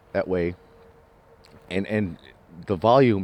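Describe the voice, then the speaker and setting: This man mumbles at a moderate pace in a fairly low voice. The sound is dry and close, with no echo. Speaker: vlogger. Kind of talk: casual monologue. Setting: outdoors in the woods. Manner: soft-spoken; mumbling.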